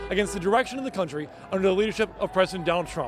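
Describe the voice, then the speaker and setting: Music plays in the background as a man talks with a high pitch and ordinary pitch variation. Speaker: TV news reporter. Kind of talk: live news standup.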